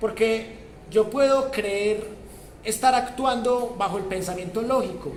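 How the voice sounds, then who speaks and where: A man with a high pitch and ordinary pitch variation speaks amid audible room echo and noticeable background noise. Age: 80s+. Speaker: university professor. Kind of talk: lecture.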